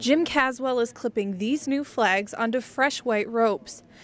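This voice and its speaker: A woman speaks at a high pitch with an American accent. Noticeable background noise sits behind her. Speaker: television news reporter. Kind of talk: TV news reporter stand-up and voiceover narration.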